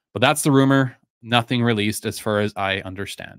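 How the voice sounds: A man's fairly bright, clear, smooth tone at a moderate pace with fairly even intonation.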